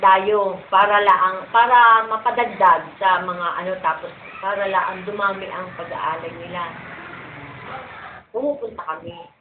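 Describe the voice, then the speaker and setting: Amid noticeable background noise and audible room echo, a woman speaks fairly slowly at a medium pitch with ordinary pitch variation. Her loudness swings widely. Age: 60s. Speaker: folk dancer and choreographer. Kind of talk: interview.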